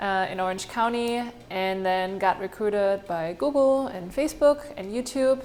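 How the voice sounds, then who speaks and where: A woman of medium pitch with a German accent and ordinary pitch variation. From Germany. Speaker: marketing agency founder, panelist. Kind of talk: panel introduction.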